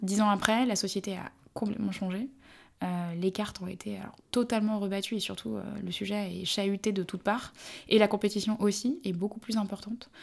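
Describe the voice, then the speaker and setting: A woman speaks at a fairly quick pace in a plain, everyday voice, her medium pitch carried by fairly even intonation. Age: 30s. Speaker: brand marketing executive. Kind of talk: interview.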